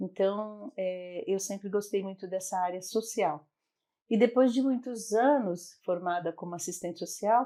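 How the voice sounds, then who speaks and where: A woman speaks at a fairly slow pace with a medium pitch and ordinary pitch variation. Her tone is dark and mellow. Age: 60s. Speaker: psychologist and NGO founder. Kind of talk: interview.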